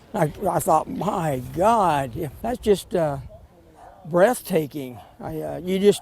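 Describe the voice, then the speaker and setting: A man with a fairly high pitch speaks through noticeable background noise. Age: 70s. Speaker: local resident. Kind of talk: news interview.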